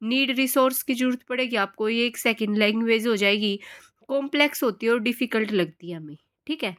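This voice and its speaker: This is a woman with an ordinary speaking voice, fairly high in pitch, with ordinary variation at a moderate pace. The recording is very clean with a silent background. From Haryana, India. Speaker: teacher. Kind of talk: lecture. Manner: casual, conversational.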